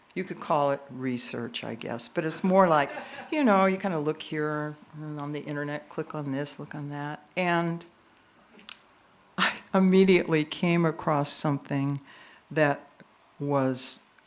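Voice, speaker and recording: At a fairly slow pace and a very deep, low pitch, a woman speaks with long, frequent pauses, big swings in loudness and ordinary pitch variation. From US Pacific Northwest, Portland Oregon. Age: 70s. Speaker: poet. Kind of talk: poetry reading with commentary.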